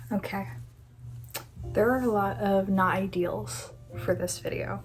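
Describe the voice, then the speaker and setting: A soft-spoken woman is heard with audible room echo and music in the background. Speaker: youtuber, artist. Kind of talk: casual vlog chat. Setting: home room, not ideal setting.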